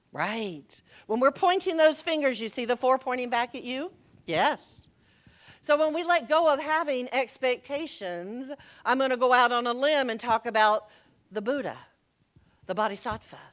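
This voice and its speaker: A woman with an American accent speaks loudly in a high voice with lively intonation. She leaves long, frequent pauses. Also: moderate pace, very clean recording, silent background. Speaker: minister. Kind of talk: sermon.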